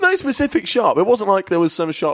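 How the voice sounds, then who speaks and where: This man talks at a very fast pace with an English accent and lively intonation. The sound is dry and close, without echo. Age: 20s. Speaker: comedian. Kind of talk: casual chat.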